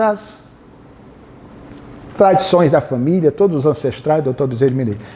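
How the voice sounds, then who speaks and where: Noticeable background noise accompanies a man whose pace is fairly quick. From Northeast Brazil, Fortaleza, Ceará. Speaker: spiritist lecturer and biographer. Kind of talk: lecture. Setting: hall with live audience, PA microphone.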